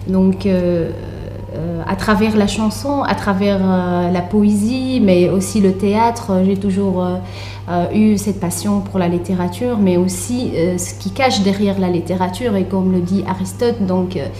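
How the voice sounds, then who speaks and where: Music plays behind a woman with an Arabic accent. She talks at a fairly slow pace, and the room echo is audible. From Tunisia. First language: Arabic (speaking French). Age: young. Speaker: author and literature researcher. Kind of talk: radio interview. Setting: radio studio. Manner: hesitant, many fillers.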